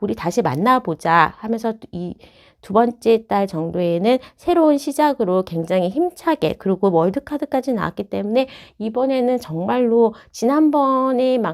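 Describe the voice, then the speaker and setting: A woman speaks with a fairly high pitch and very wide swings in it. Her pace is fairly slow. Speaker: tarot reader. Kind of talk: tarot reading to camera.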